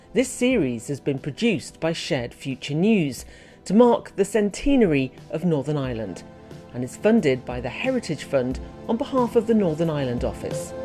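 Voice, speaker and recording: A woman's very deep, low voice with very wide pitch swings, at a moderate pace, with music in the background. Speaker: podcast presenter. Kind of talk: podcast introduction.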